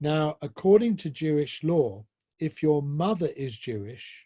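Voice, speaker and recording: With a southern English accent, a man speaks in a somewhat breathy voice of fairly high pitch and dark, mellow tone, with lively intonation at a fairly slow pace, in a dry, close sound with no echo. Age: 60s. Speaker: professor, speaker. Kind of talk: lecture, personal testimony. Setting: online presentation with slides.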